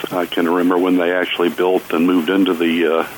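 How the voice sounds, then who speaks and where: Against noticeable background noise, a man with a very deep, low pitch speaks at a very fast pace. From Kentucky, Jessamine County. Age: 60s. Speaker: artist. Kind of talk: casual interview. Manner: halting, many fillers.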